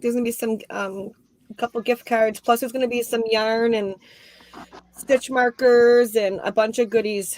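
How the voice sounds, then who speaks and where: A woman with an American accent at a fairly high pitch and a moderate pace. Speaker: crochet youtuber. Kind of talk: casual chat. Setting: video call. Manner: loud.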